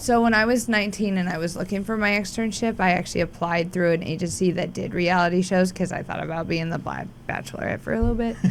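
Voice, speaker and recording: Over noticeable background noise, a woman talks with an American accent. She goes at a very fast pace with hardly any pauses. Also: medium pitch for a woman. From rural US West, raised a cowboy. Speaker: former chef and stand-up comedian. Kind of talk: casual chat. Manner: animated.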